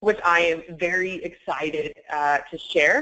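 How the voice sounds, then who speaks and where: Her voice has a fairly low pitch for a woman. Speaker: webinar presenter, sourcing trainer. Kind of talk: webinar presentation. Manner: fast.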